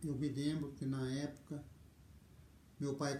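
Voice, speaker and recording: Somewhat breathy and dark, mellow in tone, a man with a fairly high pitch talks at a fairly slow pace in a room with audible echo. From Brazil, interior of Paraná near Londrina. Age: 60s. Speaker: video storyteller. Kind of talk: life story testimony. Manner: hesitant, with fillers.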